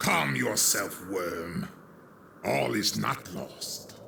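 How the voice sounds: In a put-on character voice, a man speaks very slowly at a fairly low pitch, his tone bright and sharp, his intonation lively and his voice carrying vocal fry.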